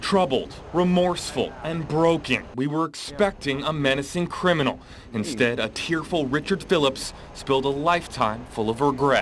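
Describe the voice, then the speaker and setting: A man with a normal speaking voice, fairly high in pitch, at a moderate pace and with ordinary pitch variation. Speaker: local TV news reporter. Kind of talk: TV news report, anchor-style delivery.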